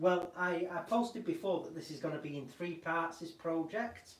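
A man talks with ordinary pitch variation, and room echo is audible. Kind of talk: casual vlog chat. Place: workshop.

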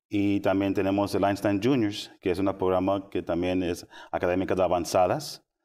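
Very deep, low male voice with a dark, mellow tone, a moderate pace, and a quiet background. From Austin, Texas. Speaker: school parent support specialist; guest. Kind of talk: interview. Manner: halting. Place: studio. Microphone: lapel.

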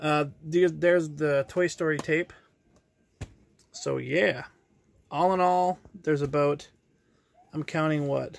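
Speaking at a slow pace with long, frequent pauses, a man uses a fairly high pitch, vocal fry, and fairly even intonation.

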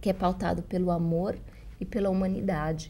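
At a moderate pace, a woman talks in a dark, mellow tone with vocal fry. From Brazil. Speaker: journalist and writing teacher; journalist, writing teacher. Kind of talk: interview. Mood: warm, earnest. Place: studio. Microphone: lapel.

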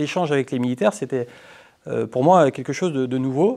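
Very fast speech comes from a man. His pitch is fairly high, with ordinary pitch variation. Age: 30s. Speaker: politician. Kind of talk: interview. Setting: parliament committee room. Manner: hesitant with fillers. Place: meeting room. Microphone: lapel.

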